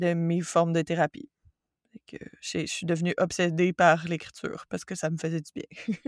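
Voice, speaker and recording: With a Quebec accent, a woman speaks at a moderate pace and fairly low pitch in a very clean recording with a silent background and a dry, close sound with no echo. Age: 30s. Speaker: yoga teacher and forestry engineer. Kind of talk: casual interview conversation.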